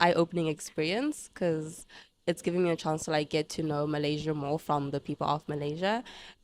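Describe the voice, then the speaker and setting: In a Zimbabwean accent, a woman speaks fairly quickly at a fairly low pitch with ordinary pitch variation, in a very clean recording with a silent background and a dry, close sound with no echo. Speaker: international university student. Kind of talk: casual interview chat.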